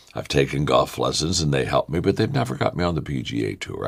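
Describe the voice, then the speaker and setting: A man's voice with very wide pitch swings, vocal fry, and a fairly quick pace. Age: 70s. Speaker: motivational speaker. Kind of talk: motivational talk. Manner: repetitive, stammering restarts.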